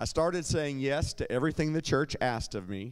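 In quiet surroundings, a man speaks at a moderate pace. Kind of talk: personal testimony. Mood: earnest, reflective, occasionally smiling. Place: church. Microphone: handheld.

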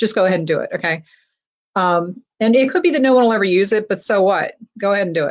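The delivery is very fast, with lively intonation. The background is quiet. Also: woman. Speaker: online seller teaching. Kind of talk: tutorial. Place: home room. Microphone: webcam.

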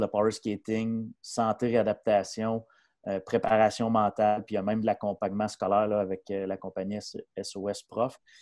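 In a dry sound with no echo and a quiet background, a man talks in a flat monotone at a fairly low pitch with a dark, mellow tone. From Quebec, Mauricie (Shawinigan-Sud); Quebec. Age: 40s. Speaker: hockey coach and player agency advisor; hockey coach. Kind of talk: casual interview. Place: home room. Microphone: earbuds.

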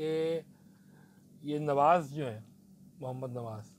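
Over light background noise, a man with a fairly high, somewhat breathy voice speaks with lively intonation. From Pakistan. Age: 40s. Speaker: podcast host. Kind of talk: casual cricket analysis. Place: studio. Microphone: lapel.

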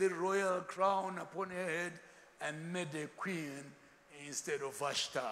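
Speaking at a fairly slow pace, a man with a high pitch sounds animated, with ordinary pitch variation. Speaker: preacher. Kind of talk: sermon. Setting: church with congregation. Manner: animated, call-and-response, repeatedly urging the congregation to say amen; humorous, jokes with the crowd. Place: hall. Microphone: lapel.

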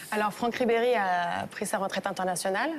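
Over noticeable background noise, a woman talks fairly quickly, her pitch shifting in an ordinary way. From France, Lyon. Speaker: subscriber asking questions. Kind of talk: interview questions.

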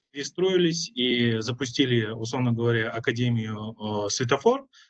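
A man talks at a medium pitch with ordinary pitch variation, in a normal speaking voice. The background is quiet. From Kyrgyzstan. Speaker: startup entrepreneur; panelist. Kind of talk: panel discussion. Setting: video call. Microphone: video call.

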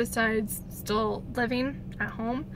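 A woman's voice in a dry sound with no echo, amid noticeable background noise. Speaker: vlogger. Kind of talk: casual vlog chat. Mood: reflective, a bit scattered. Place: car. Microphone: phone near.

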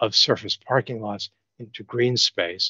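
The speaker has an American accent and a fairly slow pace with fairly even intonation. The sound is dry with no echo, over a quiet background. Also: man. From New York. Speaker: architect. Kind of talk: design presentation. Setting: video call. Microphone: video call.

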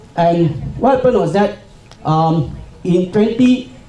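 Intonation is lively. Audible room echo and light background noise are present. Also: man. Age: 50s. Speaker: cancer survivor and pharmaceutical employee. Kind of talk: conference talk. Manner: halting. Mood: calm, personal story. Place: hall.

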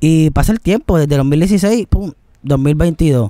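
A dark, mellow tone with ordinary pitch variation, dry with no echo against a quiet background. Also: man. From Puerto Rico. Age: 20s. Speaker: singer; guest. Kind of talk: interview. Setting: outdoors. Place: garden. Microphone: studio mic.

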